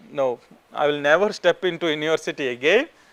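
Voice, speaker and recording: Bright and sharp in tone, a man with an Indian accent speaks at a fairly high pitch and a moderate pace. The sound is dry and close, with no echo. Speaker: professor. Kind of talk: lecture. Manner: informal, conversational.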